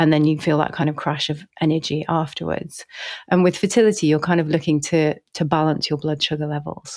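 A woman speaks at a very deep, low pitch for a woman, with fairly even intonation. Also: fairly quick pace. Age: 40s. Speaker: nutrition and fertility chef. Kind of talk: casual interview chat. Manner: hesitant, many fillers.

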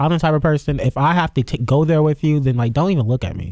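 Animated and very fast, a man talks in a fairly high pitch. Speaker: podcast host. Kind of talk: casual chat. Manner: animated, joking.

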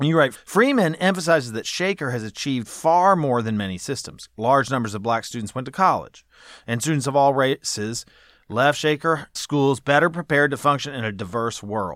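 With an unremarkable speaking voice and an American accent, a man speaks at a moderate pace and fairly high pitch with lively intonation, in a very clean recording with a silent background. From US South (Charleston, South Carolina). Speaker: podcast host, education policy researcher. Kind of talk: interview.

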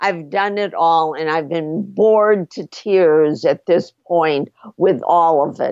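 At a very slow pace, a woman talks in a fairly low pitch with ordinary pitch variation, recorded with a dry, close sound, no echo, and a quiet background. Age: 70s. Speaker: psychotherapist and author. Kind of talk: interview.

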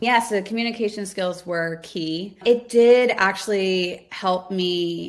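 In an unremarkable speaking voice with an American accent, the speaker moves at a fairly slow pace with fairly even intonation. Hardly any pauses interrupt the flow. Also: woman, medium pitch for a woman. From US South, Houston, Texas. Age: 30s. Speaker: roofing company founder. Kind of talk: interview.

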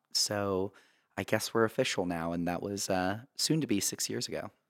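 A plain, everyday voice from a man, fairly low in pitch, with ordinary pitch variation, a moderate pace, and a dry, close sound without echo. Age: 20s. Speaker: teacher. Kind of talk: casual interview.

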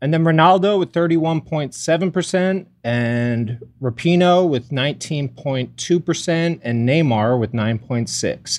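A man with a fairly high pitch and an unremarkable speaking voice talks at a fairly slow pace with hardly any pauses. His intonation is lively, and the background is quiet. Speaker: TV writer and show co-worker.

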